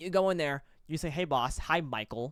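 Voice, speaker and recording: The tone is animated, with lively intonation. The recording is very clean, with a silent background. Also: man. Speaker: college esports caster and show co-host. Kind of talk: casual debate chat. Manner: fast.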